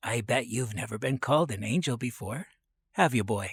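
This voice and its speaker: Put-on character voice from a man, medium in pitch, moderate in pace. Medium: read story. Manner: soft, hesitant.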